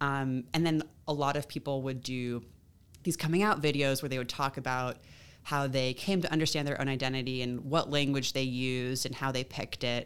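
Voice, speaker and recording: With an American accent, the speaker keeps a fairly quick pace and fairly even intonation. The recording is very clean, with a silent background. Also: woman, very deep, low pitch for a woman. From California. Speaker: graduate student researcher in linguistics. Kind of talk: interview.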